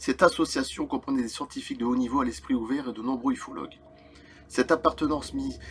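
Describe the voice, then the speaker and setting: A man over noticeable background noise. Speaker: YouTuber reading UFO accounts. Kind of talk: reading aloud with comments; casual chat. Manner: halting.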